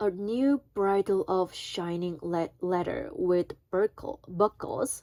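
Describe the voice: Pitch moves with ordinary variation. Delivery is plain reading aloud.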